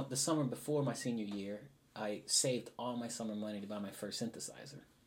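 An unremarkable speaking voice comes through in an American accent. The pitch variation is ordinary and the pace moderate. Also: man. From Houston, Texas. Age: 40s. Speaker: musician and composer. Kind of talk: interview.

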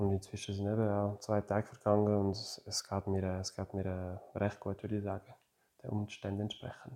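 In a French accent, a man with a fairly low pitch and a dark, mellow tone speaks at a moderate pace in a monotone, flat delivery. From French-speaking Switzerland, Neuchâtel. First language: French (speaking German). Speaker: retired ice hockey player. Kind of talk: interview. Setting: at home. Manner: halting.

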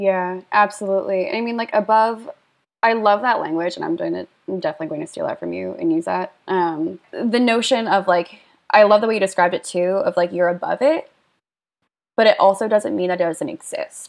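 In an ordinary speaking voice with an American accent, a woman with a medium pitch talks at a fairly quick pace with lively intonation. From rural Pennsylvania. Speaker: writer and wellness worker. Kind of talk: casual chat.

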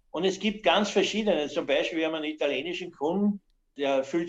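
A man uses lively intonation in an ordinary speaking voice. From Austria, Weinviertel (Lower Austria). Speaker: master cooper and timber business owner. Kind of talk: interview.

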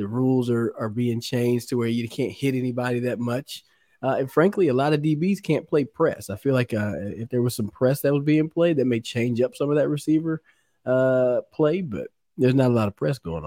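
Recorded very cleanly against a silent background, a man with a Texan accent talks fairly quickly in a medium-pitched, dark, mellow voice with ordinary pitch variation and a dry, close sound with no echo. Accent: Texan American. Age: 40s. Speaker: former pro football player. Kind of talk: casual chat.

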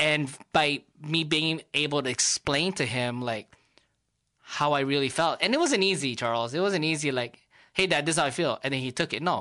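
A man speaks at a moderate pace with a fairly high pitch and ordinary pitch variation. His tone is bright and sharp, set against a quiet background. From Los Angeles, Filipino American. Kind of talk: casual chat.

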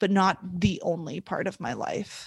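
A woman with a medium pitch speaks in an ordinary speaking voice and fairly even intonation. The background is quiet. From US West (California, Montana). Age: 20s. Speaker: former athlete, triathlete. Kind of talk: interview, casual conversation.

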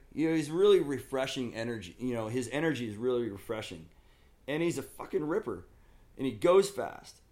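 A man with an American accent speaks at a fairly quick pace, his medium pitch swinging very widely. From Southern California and Oregon. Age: 50s. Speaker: skateboard company owner and skater. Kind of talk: casual chat.

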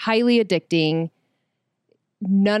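A woman of medium pitch speaks with ordinary pitch variation, her voice dry and close with no echo on a very clean recording with a silent background. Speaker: host's wife. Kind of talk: casual chat. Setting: studio. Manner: soft-spoken.

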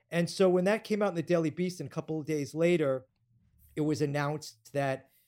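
An American accent marks this man's normal speaking voice, pitched fairly high with ordinary pitch variation. He talks at a fairly quick pace on a very clean recording with a silent background. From New York. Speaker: TV producer and director. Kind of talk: interview.

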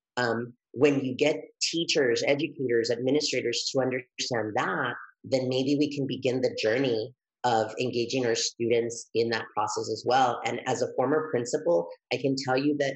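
A man with a plain, everyday voice speaks at a medium pitch and a moderate pace, his intonation fairly even. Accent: American. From El Paso, Texas (Mexican family). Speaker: dual language education consultant. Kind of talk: interview.

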